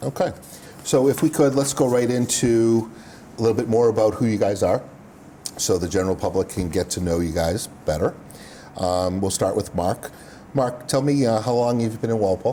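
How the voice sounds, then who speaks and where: Over noticeable background noise, a man with an American accent speaks at a medium pitch and moderate pace, with ordinary pitch variation and long, frequent pauses. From Massachusetts (Dedham, Boston area). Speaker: local TV show host. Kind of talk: interview.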